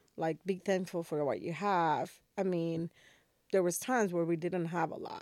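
A woman speaks with a Spanish accent at a moderate pace. Her pitch is fairly low and her intonation fairly even. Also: very clean recording, silent background. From Dominican Republic. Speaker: podcast host. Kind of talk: casual conversation, podcast intro.

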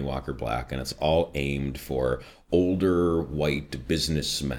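A man speaks with a very deep, low pitch and vocal fry. His intonation stays fairly even, with a slight Midwestern accent. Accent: slight Midwestern American. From US Midwest. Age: 30s. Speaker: voiceover artist. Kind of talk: casual interview.

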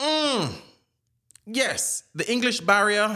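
A man speaks with a Jamaican accent. His tone is bright and sharp. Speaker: Jamaican immigrant in the US. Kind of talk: casual chat.

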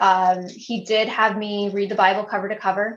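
A woman speaks with a slight Canadian accent. Her pitch is fairly high. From Canada, Sudbury, northern Ontario. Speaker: podcast co-host, mother. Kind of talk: casual interview chat.

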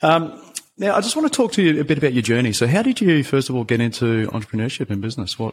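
A man with an Australian accent talks very fast at a medium pitch with lively intonation, over noticeable background noise. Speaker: podcast host. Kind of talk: interview, casual conversation.

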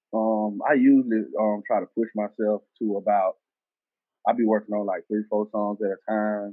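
A man speaks with a Southern US accent. His intonation is monotone and flat. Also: moderate pace. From US South, Selma, Alabama. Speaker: rapper. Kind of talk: casual interview.

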